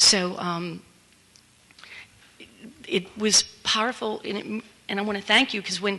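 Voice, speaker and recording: Against noticeable background noise, a woman talks at a moderate pace in a medium pitch with fairly even intonation. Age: 60s. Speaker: workshop participant in recovery. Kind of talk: group sharing feedback. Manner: halting.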